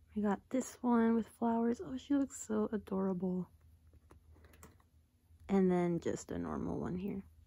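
The speaker goes at a fairly slow pace with long, frequent pauses. The voice is somewhat breathy. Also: woman. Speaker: YouTuber. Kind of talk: casual unboxing talk to camera.

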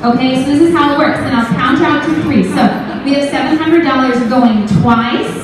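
The woman's voice is high-pitched, with ordinary pitch variation and a moderate pace. Noticeable background noise and strong room echo surround her. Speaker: fundraising auctioneer. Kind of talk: casual explanation to the crowd between bids. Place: hall.

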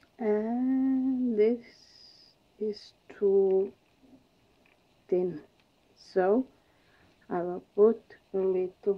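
A woman speaks in a non-native accent with ordinary pitch variation. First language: non-native English speaker. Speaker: acrylic pouring artist. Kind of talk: art tutorial demonstration. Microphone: phone near.

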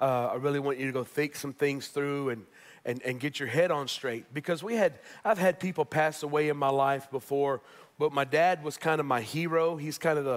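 In a quiet background, a man talks at a fairly quick pace with ordinary pitch variation. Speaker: pastor. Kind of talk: sermon. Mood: personal, reflective. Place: church.

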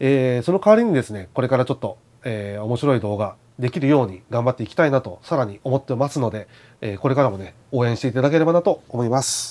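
A man talks at a very fast pace, his intonation lively. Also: medium pitch for a man. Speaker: outdoor gear YouTuber. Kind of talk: casual vlog monologue. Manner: halting, many fillers. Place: home room. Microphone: lapel.

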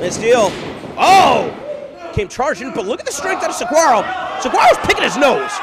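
Noticeable background noise sits behind a man's voice. His pitch is extremely high and swings very widely. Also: moderate pace. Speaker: wrestling commentator. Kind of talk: wrestling commentary, playful and joking. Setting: live-style commentary over a match in a wrestling academy. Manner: excited and animated on big moves, rising when describing strength.

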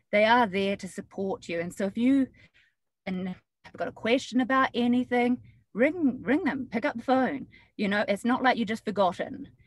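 At a moderate pace, a woman with a New Zealand accent speaks in a high pitch with ordinary pitch variation. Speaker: real estate agent. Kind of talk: webinar discussion.

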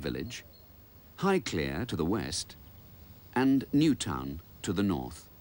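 A man with vocal fry at a moderate pace, on a very clean recording with a silent background. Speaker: narrator. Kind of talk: documentary narration.

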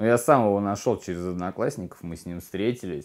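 Over a quiet background, a man speaks at a moderate pace with a very deep, low pitch. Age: 30s. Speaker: recovering addict in rehab. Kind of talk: testimony. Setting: rehabilitation center. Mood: subdued, confessional. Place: home room.

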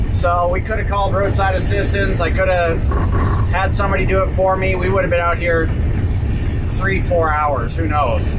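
Loud background noise runs beneath speech delivered at a moderate pace. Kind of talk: casual vlog chat. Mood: wry, slightly rueful. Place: car.

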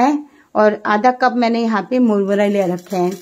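Fairly even intonation marks this fairly slow delivery. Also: woman. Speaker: home cook recipe host. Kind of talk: cooking tutorial. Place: kitchen.

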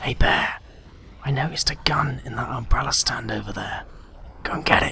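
Fairly quick delivery in a raspy, put-on character voice. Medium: cartoon.

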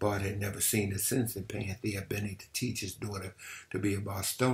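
Plain reading aloud with fairly even intonation

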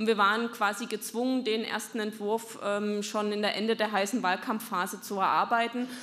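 Speaking at a moderate pace, a woman keeps a monotone, flat intonation. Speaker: party politician. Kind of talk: speech at a party meeting. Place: hall. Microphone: podium.

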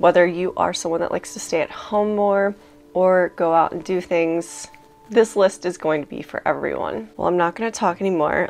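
Faint music plays in the background. A woman speaks with a fairly low pitch and ordinary pitch variation. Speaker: book content creator. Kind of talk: casual vlog chat. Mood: warm, cheerful, laughs often. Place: home room.

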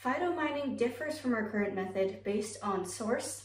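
Lively in intonation, a woman's fairly high voice carries audible room echo. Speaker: college speech competitor. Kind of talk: informative speech. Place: home room. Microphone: camera far.

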